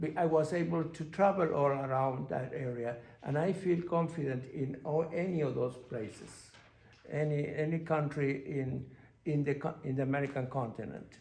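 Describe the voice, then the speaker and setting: In a room with audible echo, a man with a Spanish accent speaks in a fairly high, somewhat breathy voice. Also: ordinary pitch variation, moderate pace. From Argentina. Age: 60s. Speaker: panelist. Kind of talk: panel discussion. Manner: halting.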